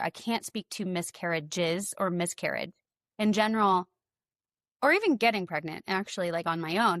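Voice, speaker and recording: Against a quiet background, a woman talks fairly quickly in a normal speaking voice with lively intonation, the sound dry and close with no echo. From US South, Tennessee. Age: 40s. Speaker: podcast host. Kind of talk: casual chat.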